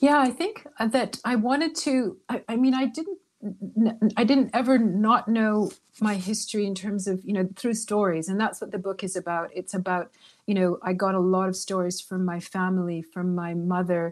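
Speaking at a moderate pace in an unremarkable speaking voice, a woman with medium pitch and ordinary pitch variation is heard on a very clean recording with a silent background. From Canada, Toronto. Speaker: author. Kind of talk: interview.

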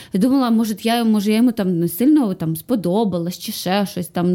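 With a normal speaking voice, a woman talks at a fairly quick pace in a medium pitch, showing ordinary pitch variation. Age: 30s. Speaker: actress and comedian. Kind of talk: casual chat.

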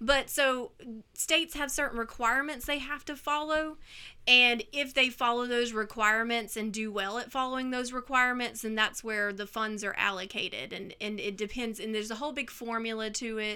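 With a Mississippi accent, a woman speaks at a fairly high pitch and a moderate pace in a bright, sharp tone with ordinary pitch variation on a very clean recording with a silent background. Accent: Southern US (Mississippi). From US Mississippi coast. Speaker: artist and former teacher. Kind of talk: casual interview.

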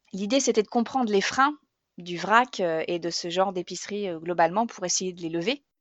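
At a moderate pace, a woman talks with medium pitch that varies in an ordinary way. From Normandy. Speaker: grocery shop co-owner, former marketer. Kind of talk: testimony.

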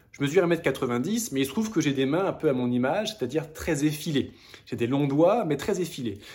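With a plain, everyday voice, a man speaks at a fairly quick pace and fairly high pitch with lively intonation. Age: 30s. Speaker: hiking video creator. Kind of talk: casual vlog with gift recommendations.

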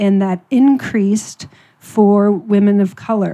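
A dark, mellow tone in a Midwestern accent, with fairly even intonation at a very slow pace. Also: woman. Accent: American Midwest. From US Midwest, Ohio. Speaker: writer, editor and carer advocate. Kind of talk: panel talk.

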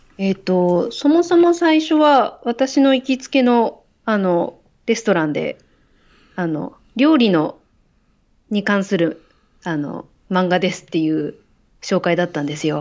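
The speaker leaves long, frequent pauses and uses very wide pitch swings. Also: woman, medium pitch for a woman, fairly slow pace. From Hokkaido, Japan. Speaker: doctor and graduate student. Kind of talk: casual chat.

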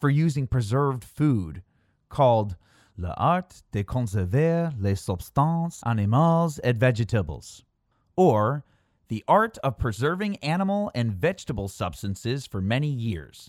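A man with an American accent speaks at a moderate pace with very wide pitch swings. The recording is very clean with a silent background and a dry, close sound with no echo. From Chicago suburbs, Illinois. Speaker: podcast host. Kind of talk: scripted narration of history with casual asides. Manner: informal, conversational, humorous.

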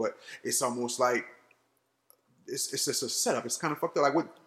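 Speaking at a very fast pace, a man talks in an American accent. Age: 30s. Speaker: podcast host. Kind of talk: casual chat.

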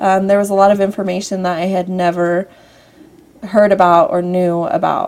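With an American accent, the speaker delivers monotone, flat intonation at a moderate pace. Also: woman, medium pitch for a woman. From US Southwest (Henderson, Nevada). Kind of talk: testimony.

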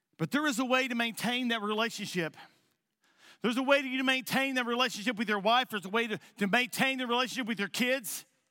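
A man projects a raised voice at an extremely high pitch with a bright, sharp tone and ordinary pitch variation. He talks at a very fast pace on a very clean recording with a silent background. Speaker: pastor. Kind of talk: sermon. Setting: church. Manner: halting.

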